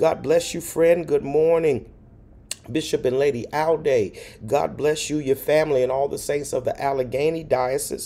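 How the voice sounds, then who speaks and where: Using fairly even intonation, a man talks at a moderate speed. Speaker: pastor. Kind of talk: livestream greetings to viewers. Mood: warm, cheerful. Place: home room. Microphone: phone near.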